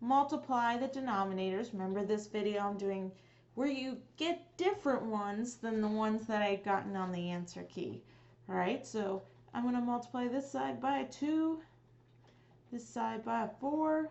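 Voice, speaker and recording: A woman's normal speaking voice, fairly high in pitch, with lively intonation at a moderate pace. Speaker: math teacher. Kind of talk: tutorial.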